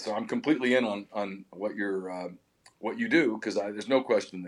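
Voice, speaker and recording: At a fairly quick pace, a man talks in a normal speaking voice with a fairly low pitch and fairly even intonation. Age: 50s. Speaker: podcast host and sports publisher. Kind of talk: casual chat. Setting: studio.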